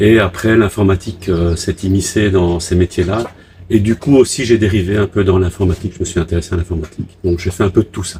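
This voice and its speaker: This man has a very deep, low pitch. He talks at a fairly quick pace with fairly even intonation. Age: 60s. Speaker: retired sailor living on a boat. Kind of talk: interview. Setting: on a catamaran.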